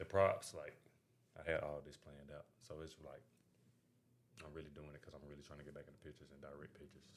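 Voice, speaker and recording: The pace is very fast, yet long, frequent pauses break it up. Loudness swings widely. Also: man. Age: 20s. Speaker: videographer guest. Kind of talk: casual chat.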